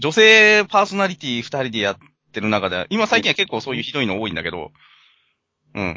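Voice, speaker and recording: A man talking at a fairly quick pace, his pitch swinging very widely. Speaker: podcast co-host. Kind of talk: casual chat.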